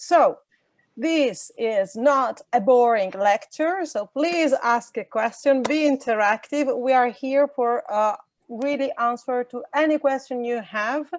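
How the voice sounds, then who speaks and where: In an Italian accent, a woman speaks at a very slow pace with a high pitch and ordinary pitch variation, in a dry, close sound with no echo. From Italy. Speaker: VOD industry association representative. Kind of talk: online workshop presentation. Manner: halting, many fillers.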